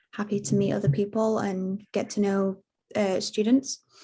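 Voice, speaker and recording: Somewhat breathy and dark, mellow in tone, a woman speaks at a medium pitch with ordinary pitch variation. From UK. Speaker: international student. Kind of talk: webinar panel answer.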